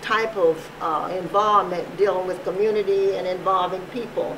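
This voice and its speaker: Noticeable background noise accompanies talking delivered at a fairly slow pace. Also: woman. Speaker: oral history interviewer. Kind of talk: interview questions.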